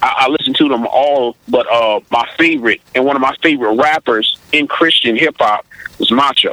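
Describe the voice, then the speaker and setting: Over noticeable background noise, a man speaks with very even loudness. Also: moderate pace. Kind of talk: casual interview conversation.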